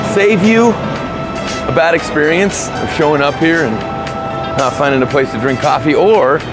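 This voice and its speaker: Clear music plays in the background as a man speaks in a dry sound with no echo. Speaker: vlogger. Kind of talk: casual vlog chat. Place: street. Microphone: phone near.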